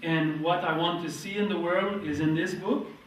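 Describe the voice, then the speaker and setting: A man with a Quebec accent speaks at a high pitch with ordinary pitch variation, amid noticeable background noise and audible room echo. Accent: French-Canadian accent in English. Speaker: market gardener and author giving workshop. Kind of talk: workshop presentation with consecutive translation. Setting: lecture room with audience.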